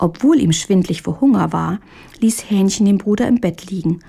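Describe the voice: Just plain reading aloud, nothing more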